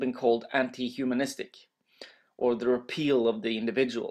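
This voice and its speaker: A man talks at a fairly quick pace with a Norwegian accent. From Norway. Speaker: master's student. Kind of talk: educational presentation voiceover.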